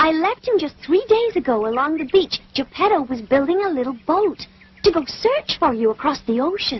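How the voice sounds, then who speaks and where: This is a cartoonish character voice, female-sounding and high in pitch. It moves at a moderate pace. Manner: gentle, warm.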